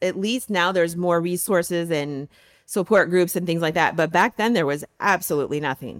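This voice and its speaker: A woman with an American accent speaks in a normal speaking voice, fairly low in pitch, at a moderate pace with ordinary pitch variation, recorded dry and close with no echo. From US Midwest, Michigan. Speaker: university faculty member. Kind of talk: personal testimony interview.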